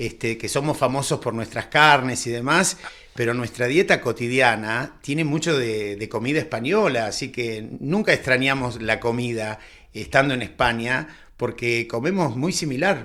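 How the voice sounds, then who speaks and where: With an Argentine accent, a man speaks at a moderate pace in a bright, sharp tone, his medium pitch showing ordinary pitch variation. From Argentina, Buenos Aires. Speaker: priest. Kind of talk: radio interview. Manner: halting, repeats words.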